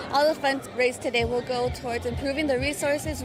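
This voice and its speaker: A woman at a fairly high pitch and fairly quick pace, with fairly even intonation, over music in the background. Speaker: reporter. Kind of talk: TV news report.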